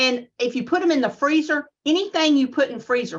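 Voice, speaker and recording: The background is quiet as a woman speaks with a Southern US accent. Her pitch swings very widely. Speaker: extension agent giving a lecture. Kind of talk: lecture with Q&A.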